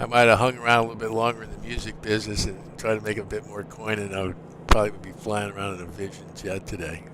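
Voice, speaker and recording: A man's fairly low voice at a very fast pace, monotone and flat, with big swings in loudness and noticeable background noise. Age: 60s. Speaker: flight sim streamer and pilot. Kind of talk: live stream commentary.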